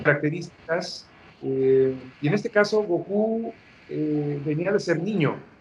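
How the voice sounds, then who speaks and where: At a fairly slow pace, a man speaks, his pitch varying in an ordinary way. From Mexico. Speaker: voice actor, dubbing director. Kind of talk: interview answer.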